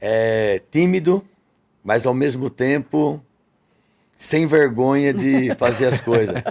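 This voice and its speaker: At a very slow pace with long, frequent pauses, a man of medium pitch speaks with ordinary pitch variation and very even loudness. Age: 60s. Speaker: restaurant owner. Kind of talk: podcast interview.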